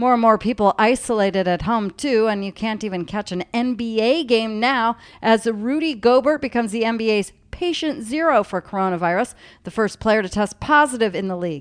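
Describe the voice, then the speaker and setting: A woman's unremarkable speaking voice, fairly high in pitch, with lively intonation at a fairly quick pace over a quiet background. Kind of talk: news reading. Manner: formal, brisk, steady newscaster delivery.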